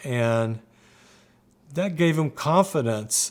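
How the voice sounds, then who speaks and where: This man's voice sits at a fairly high pitch with ordinary pitch variation. He speaks at a very slow pace. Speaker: son of a bluegrass musician. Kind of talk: oral history interview answer. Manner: casual, reminiscing, some repetitions.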